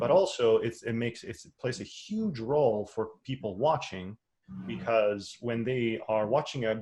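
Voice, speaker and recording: A man with a non-native accent, a somewhat breathy voice of medium pitch, at a moderate pace. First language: not English. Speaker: online course instructor. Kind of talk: webinar presentation. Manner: halting, many fillers and restarts.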